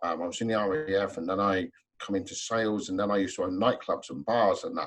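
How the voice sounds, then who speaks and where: In a London accent, a man talks at a fairly quick pace. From South London. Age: 40s. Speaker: trainer and hypnotherapist. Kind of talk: webinar panel discussion.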